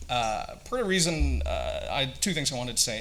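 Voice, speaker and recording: Music plays in the background as a man with an American accent speaks amid audible room echo. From Singapore (American school), Canadian-born to Vietnamese parents. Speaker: company founder. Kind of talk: conference presentation. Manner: hesitant, many fillers; hurried.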